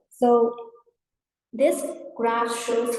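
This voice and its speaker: Audible room echo around a woman's high voice. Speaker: university lecturer. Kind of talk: lecture.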